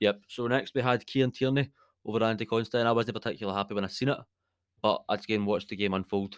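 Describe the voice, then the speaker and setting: Speaking at a very fast pace in a Scottish accent, a man sounds animated on a very clean recording with a silent background and a dry, close sound with no echo. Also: medium pitch for a man. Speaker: podcast host, football fan. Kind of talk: casual chat, football podcast banter. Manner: animated, jokey.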